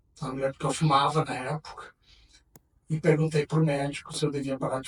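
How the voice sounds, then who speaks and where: A man's fairly high, somewhat breathy voice holds fairly even intonation. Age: 60s. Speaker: HIV activist. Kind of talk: testimony. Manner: halting.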